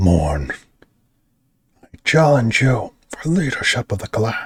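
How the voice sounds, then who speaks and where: Growling in a put-on character voice, the speaker goes at a fairly slow pace with a low-to-middle pitch. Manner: menacing, defiant.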